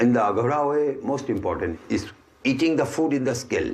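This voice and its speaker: Through noticeable background noise and audible room echo, a man with an Indian accent talks at a fairly slow pace. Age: 60s. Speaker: ascetic holy man. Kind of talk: interview.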